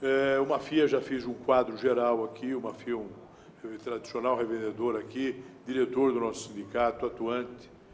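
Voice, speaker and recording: A man speaks at a moderate pace with a medium pitch. His intonation is flat and monotone, and the room echo is audible. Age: 60s. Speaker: trade union president. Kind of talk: public speech. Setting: city council chamber. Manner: formal.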